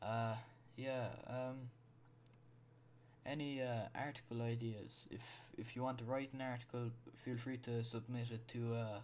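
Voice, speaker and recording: A man with a medium-pitched voice talks at a fairly slow pace in a monotone, flat delivery, with long, frequent pauses. Audible room echo surrounds his voice. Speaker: podcast host. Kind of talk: solo podcast monologue. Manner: halting, many fillers and repeats.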